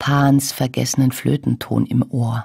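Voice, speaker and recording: A woman speaks at a very slow pace with a very deep, low pitch and a dark, mellow tone. Her voice is somewhat breathy, and the background is quiet. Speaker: actress, voice actress. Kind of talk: poetry reading. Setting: radio broadcast recording. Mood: warm, gentle, smiling. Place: booth. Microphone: studio mic.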